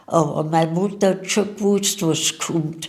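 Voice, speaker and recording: A woman talks at a fairly low pitch. Noticeable background noise runs behind her. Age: 80s+. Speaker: war eyewitness. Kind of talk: interview.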